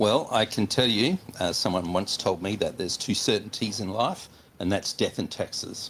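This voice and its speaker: Moderate pace, ordinary pitch variation, and an Australian accent. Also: man, fairly low pitch for a man. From Western Australia. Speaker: chartered accountant. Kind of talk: interview.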